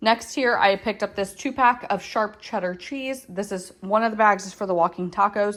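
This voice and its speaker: With an American accent and an unremarkable speaking voice, a woman of medium pitch talks at a moderate pace in fairly even intonation with hardly any pauses. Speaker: home and lifestyle vlogger. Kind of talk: casual grocery haul vlog. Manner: casual with frequent fillers.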